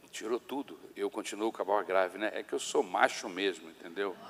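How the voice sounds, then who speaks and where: The speaker is a man. His voice sits fairly low in pitch. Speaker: pastor. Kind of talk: sermon. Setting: church.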